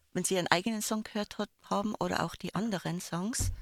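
A woman speaks at a fairly quick pace with ordinary pitch variation. Her voice is somewhat breathy. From Landeck, Tyrol, Austria. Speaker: radio trainee. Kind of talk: casual radio chat. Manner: animated.

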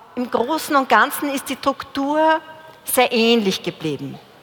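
A woman speaks at a very slow pace with lively intonation. Noticeable background noise is present. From Upper Austria. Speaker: panel moderator. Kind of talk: moderated panel discussion.

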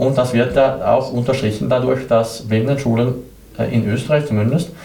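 Against noticeable background noise and audible room echo, a man speaks with a Swedish accent. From southern Sweden. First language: Swedish (speaking German). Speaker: blind exhibition guide team leader. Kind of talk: interview. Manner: halting, many hesitations.

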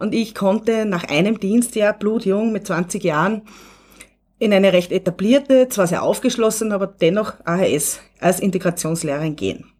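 At a moderate pace, a woman speaks at a medium pitch in a plain, everyday voice with ordinary pitch variation. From Upper Austria. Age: 40s. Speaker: teacher educator. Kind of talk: radio interview.

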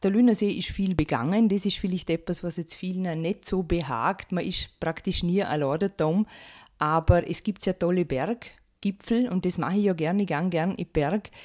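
A woman speaks at a moderate pace with ordinary pitch variation and a medium pitch, in an unremarkable speaking voice. The recording is very clean with a silent background, and the sound is dry and close with no echo. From Austria, Vorarlberg. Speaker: author and naturopath. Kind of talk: radio interview.

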